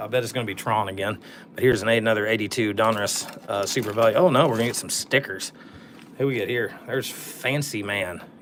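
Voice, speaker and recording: Over noticeable background noise, a man talks very fast at a medium pitch with ordinary pitch variation. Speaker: sports card collector opening packs. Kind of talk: casual live stream pack opening. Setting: live stream.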